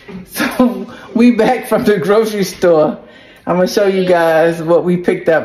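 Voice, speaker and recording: A woman speaks very slowly with ordinary pitch variation. There is light background noise. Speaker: family vlogger. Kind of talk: casual vlog chat. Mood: relaxed, a bit hot. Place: kitchen. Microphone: phone near.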